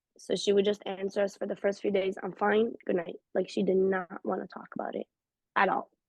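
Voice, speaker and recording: Speaking in an Israeli accent, a woman uses a medium pitch at a fairly quick pace. Her intonation is monotone and flat, and the sound is dry and close with no echo. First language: Hebrew. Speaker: interviewee sharing personal experience. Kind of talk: personal testimony in conversational interview.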